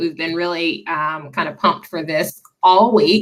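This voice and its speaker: A woman speaks at a moderate pace with a slight Southern US accent and ordinary pitch variation. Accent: slight Southern twang. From Tennessee, Nashville. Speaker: diversity and inclusion nonprofit director. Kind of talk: webinar presentation. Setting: video call.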